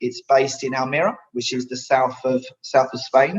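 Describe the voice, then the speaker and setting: A man speaks at a moderate pace in a fairly high voice. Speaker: specification manager giving a training seminar. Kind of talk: lecture. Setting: virtual online seminar. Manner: hesitant, many fillers and repeated words.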